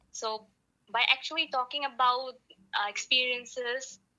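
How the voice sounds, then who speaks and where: A fairly slow-paced woman's voice with a non-native accent. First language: not English. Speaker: podcast guest, aspiring singer. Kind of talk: casual conversation. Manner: halting.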